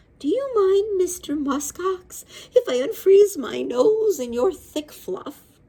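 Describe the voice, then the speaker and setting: Putting on a character voice, a woman speaks at an extremely high pitch. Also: fairly slow pace. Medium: read story.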